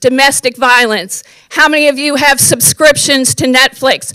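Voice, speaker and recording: Speaking in a raised, projected voice with an American accent, a woman goes at a fairly slow pace in a high pitch with ordinary pitch variation, the sound dry and close with no echo. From US East Coast. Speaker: member of the public giving comment. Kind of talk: public comment at a county board meeting. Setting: county board meeting room.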